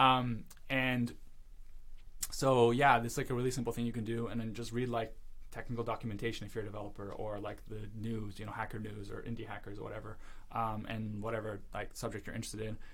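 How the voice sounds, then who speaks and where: A man at medium pitch talking at a very fast pace, with audible room echo. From western Canada, Vancouver. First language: Russian. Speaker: startup founder. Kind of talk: podcast interview. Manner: casual, many fillers.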